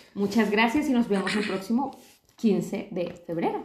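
A woman's fairly high voice with ordinary pitch variation, audible room echo and noticeable background noise. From Colombia. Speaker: podcast co-host. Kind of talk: casual chat.

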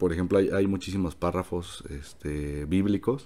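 A man with a very deep, low pitch speaks at a fairly slow pace with ordinary pitch variation. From Mexico City. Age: 20s. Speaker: economics student. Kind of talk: casual interview.

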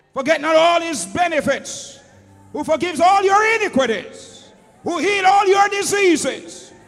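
Noticeable background noise surrounds a man speaking at a fairly slow pace. His tone is animated and his intonation lively. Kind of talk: sermon. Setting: church with congregation. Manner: animated, call-and-response preaching, rhetorical questions to the congregation; loud, impassioned, urging the congregation to answer.

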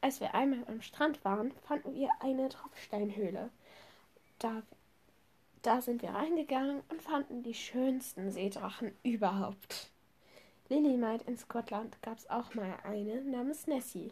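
Pausing long and often, a woman with a high voice speaks at a fairly slow pace. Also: ordinary pitch variation. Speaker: podcast host. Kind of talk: reading aloud.

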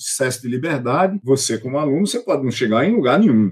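A man's medium-pitched, somewhat breathy voice, very fast and with lively intonation. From Brazilian Northeast (Paraíba, interior). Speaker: computer science professor. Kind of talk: interview conversation.

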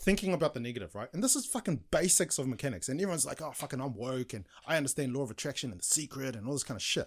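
Delivered at a very fast pace in a New Zealand accent, the voice swings very widely in pitch on a very clean recording with a silent background. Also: man. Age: 40s. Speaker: business coach. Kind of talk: casual chat.

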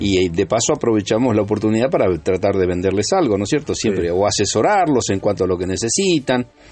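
Over background music, a man speaks at a fairly low pitch with lively intonation. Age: 70s. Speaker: clothing salesman. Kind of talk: interview.

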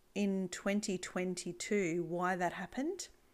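The speaker talks with an Australian accent. The recording is very clean, with a silent background. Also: woman. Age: 40s. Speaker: podcast host, e-commerce business owner. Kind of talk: solo podcast monologue.

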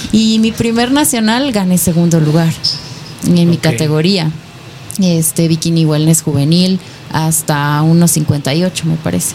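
Fairly low in pitch, a woman talks at a fairly slow pace with ordinary pitch variation. Her loudness stays very even over noticeable background noise. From Nayarit, Mexico. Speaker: fitness competitor. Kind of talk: radio interview.

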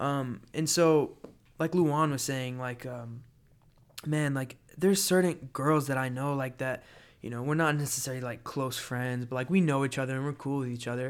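Here is a plain, everyday voice: a man with an American accent at medium pitch. He talks at a moderate pace with fairly even intonation. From Florida. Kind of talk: casual chat.

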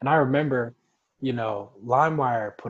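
This man has an ordinary speaking voice at a medium pitch. His intonation stays fairly even. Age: 20s. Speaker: podcast host. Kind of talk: casual chat.

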